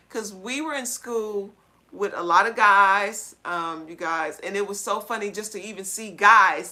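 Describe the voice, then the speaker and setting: The speaker has a plain, everyday voice with ordinary pitch variation. The pace is fairly slow. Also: woman. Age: 40s. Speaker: livestream co-host. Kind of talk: casual chat. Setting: livestream.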